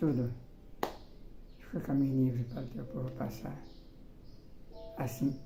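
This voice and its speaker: Noticeable background noise and audible room echo around a man's medium-pitched voice, with ordinary pitch variation, a moderate pace, and long, frequent pauses. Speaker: evangelist preacher. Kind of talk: sermon. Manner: slurred speech, difficult diction after stroke; repetitive, halting.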